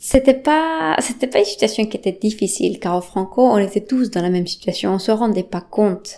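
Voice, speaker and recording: With a Spanish accent, a woman speaks at a medium pitch and moderate pace in a dark, mellow tone with lively intonation. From Bolivia. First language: Spanish (speaking French). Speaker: interviewee. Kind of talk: personal testimony.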